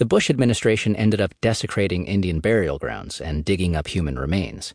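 A man's very deep, low voice with vocal fry and lively intonation, fairly quick in pace, over a quiet background. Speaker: audiobook narrator. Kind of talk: audiobook reading of a magazine article, read aloud in a neutral, informative tone. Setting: studio. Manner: even, measured, formal; steady news-style delivery, little emotion.

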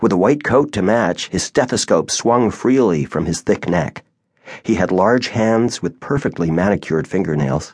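An ordinary speaking voice from a man, fairly low-pitched, with lively intonation at a moderate pace. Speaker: audiobook narrator. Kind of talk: dramatic first-person audiobook narration. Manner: somber, measured, expressive; shifts into character voices for dialogue.

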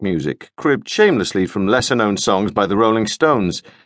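An ordinary speaking voice moves at a fairly quick pace with lively intonation over a quiet background. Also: man. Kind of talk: scripted audiobook narration, first-person comic memoir voice.

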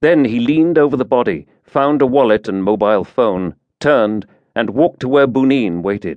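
An unremarkable speaking voice from a man at a moderate pace. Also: medium pitch for a man, lively intonation. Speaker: audiobook narrator. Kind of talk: dramatic thriller narration, scripted audiobook reading with character voices. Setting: studio. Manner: tense, hushed menace in the murder scene, cold and matter-of-fact; steady, clipped pace, with sardonic dialogue lines and shifts between characters.

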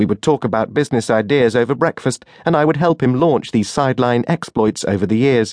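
With hardly any pauses, an ordinary speaking voice moves at a fairly quick pace, its pitch varying in an ordinary way and its loudness very even. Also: man, medium pitch for a man, dry, close sound with no echo. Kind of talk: audiobook narration, first-person memoir read aloud. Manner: measured, warm, conversational storytelling with dry humor.

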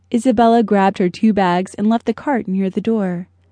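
In a dry, close sound with no echo, a woman with a dark, mellow tone and medium pitch speaks at a moderate pace. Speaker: audiobook narrator. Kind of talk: dramatic audiobook narration of a thriller. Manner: suspenseful, tense, measured pacing building to panic.

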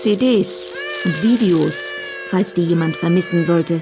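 A woman's fairly low voice with a slightly mellow tone, ordinary pitch variation and a fairly slow pace, with faint music in the background

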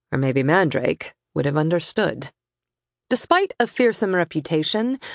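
A woman's animated, dramatic delivery, fairly slow, with very wide pitch swings. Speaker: audiobook narrator. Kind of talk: audiobook narration of a sci-fi romance; dramatic narration. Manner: vivid, animated storytelling with dramatic pacing.

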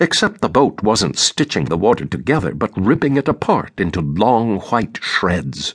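A man with vocal fry talks in a fairly low pitch at a moderate pace, with very wide pitch swings and very even loudness. The background is quiet. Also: dry, close sound with no echo. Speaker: audiobook narrator. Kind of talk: audiobook reading of a literary novel, first-person narration. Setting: studio recording. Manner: measured, reflective, even-paced literary narration.

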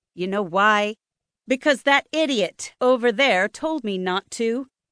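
A woman with a fairly high, bright, sharp voice, dramatic and animated in tone, at a fairly slow pace against a quiet background. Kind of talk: audiobook narration. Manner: dramatic, animated, shifting into voices for characters and nervous, rambling speech.

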